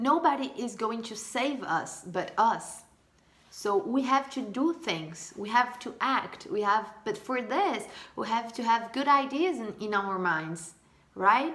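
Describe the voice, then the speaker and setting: Over noticeable background noise, a woman speaks very slowly at a fairly high pitch with lively intonation. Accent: Portuguese. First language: Portuguese. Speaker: vlogger. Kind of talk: casual monologue. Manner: halting.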